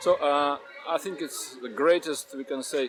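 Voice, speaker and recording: A man talks at a fairly high pitch in a Russian accent and at a moderate pace. Noticeable background noise is present. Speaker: Hare Krishna devotee. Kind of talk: interview answer.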